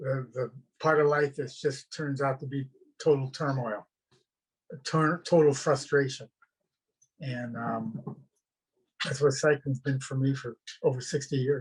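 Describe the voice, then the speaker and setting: Somewhat breathy and fairly high in pitch, a man speaks in a monotone, flat intonation at a fairly slow pace with long, frequent pauses. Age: 80s+. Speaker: cycling club president. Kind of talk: panel discussion.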